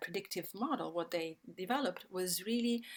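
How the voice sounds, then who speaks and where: A woman with an Italian accent, medium in pitch, in a very clean recording with a silent background. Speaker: sustainability speaker. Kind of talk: talk. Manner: halting, many fillers.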